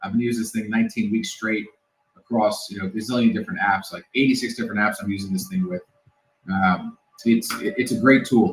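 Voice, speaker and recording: Very fast speech with very wide pitch swings comes in an American accent. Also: man, medium pitch for a man. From New York City. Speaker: security expert. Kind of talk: casual interview.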